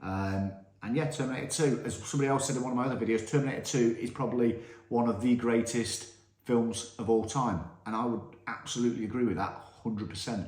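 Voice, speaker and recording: In a British accent, a man of medium pitch talks very fast with ordinary pitch variation, amid noticeable background noise and audible room echo. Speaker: film review youtuber. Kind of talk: casual film ranking monologue. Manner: animated.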